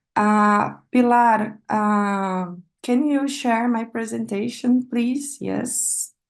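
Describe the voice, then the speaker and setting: Talking at a very slow pace, a woman has a Brazilian Portuguese accent. Her fairly high pitch follows fairly even intonation. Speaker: PhD researcher. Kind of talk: academic seminar talk. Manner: halting, with many fillers.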